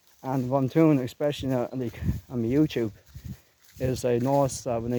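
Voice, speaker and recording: Talking at a fairly quick pace, a man keeps a medium pitch. His intonation is monotone and flat. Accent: Leinster. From Ireland, Co. Kildare. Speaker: gaming and music YouTuber. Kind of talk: casual vlog while walking. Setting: outdoors in a graveyard.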